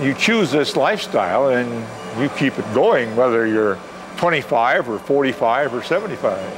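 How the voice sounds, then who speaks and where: A man at a medium pitch and moderate pace, lively intonation, with music playing behind him. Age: 70s. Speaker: retired navy officer and masters track athlete. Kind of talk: interview. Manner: halting.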